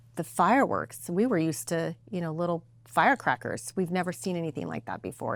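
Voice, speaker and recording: A woman is speaking. Her voice has vocal fry. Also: very clean recording, silent background. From Mexico, then Sparks and Reno, Nevada from age nine. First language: Spanish. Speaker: political candidate, lawyer. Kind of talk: interview.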